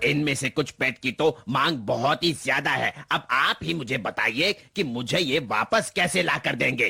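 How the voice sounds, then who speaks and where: In a put-on character voice, a man speaks with medium pitch, lively intonation and very even loudness at a moderate pace. The sound is dry and close, with no echo. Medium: fan dub. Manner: smooth, salesy.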